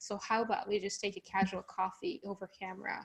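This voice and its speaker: A fairly quick pace marks this speech. The voice is a woman's. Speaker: remote work consultant. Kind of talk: live online Q&A interview. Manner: loud; varied pace with pauses.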